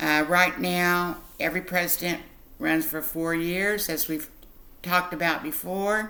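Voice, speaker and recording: A woman speaks at a fairly slow pace with a fairly low pitch, a bright, sharp tone and fairly even intonation, and there is audible room echo. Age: 60s. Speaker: literacy tutor. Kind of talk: tutorial. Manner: slow and clear, repeating answers.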